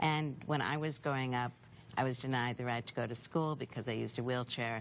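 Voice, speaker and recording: Speaking at a fairly quick pace, a woman with a very deep, low pitch keeps a fairly even intonation. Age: 60s. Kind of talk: TV news interview.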